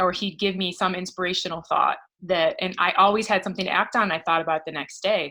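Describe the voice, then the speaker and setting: A woman speaks very fast and loud with a Midwestern US accent, her medium-pitched voice bright and sharp. Her intonation stays flat and monotone over a very clean recording with a silent background. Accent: General American, Midwestern. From US Midwest, Michigan. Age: 40s. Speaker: professor and women's leadership coach. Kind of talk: interview.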